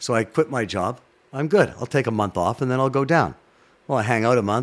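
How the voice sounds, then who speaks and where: Talking at a very fast pace, a man with a Canadian accent speaks at medium pitch. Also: very clean recording, silent background. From Toronto, Canada. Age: 50s. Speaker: sports broadcaster. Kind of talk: interview chat, storytelling. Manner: animated.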